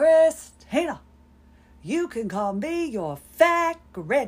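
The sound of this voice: A woman puts on a character voice, pitched high and swinging very widely in pitch as she talks at a very slow pace.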